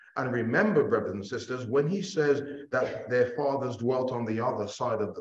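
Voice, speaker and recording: A somewhat breathy man's voice with ordinary pitch variation and audible room echo. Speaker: bible class teacher. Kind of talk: sermon. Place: hall.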